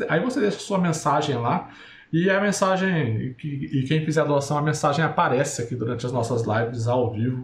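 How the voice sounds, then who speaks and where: A man speaks with lively intonation and a somewhat breathy quality. Room echo is audible. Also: fairly high pitch for a man, moderate pace. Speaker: podcast host. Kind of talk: casual chat. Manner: halting.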